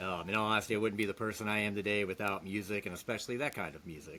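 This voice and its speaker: An ordinary speaking voice from a man, fairly low in pitch with fairly even intonation. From Virginia, Hampton Roads area. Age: 30s. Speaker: guitar repair technician. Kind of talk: casual interview chat.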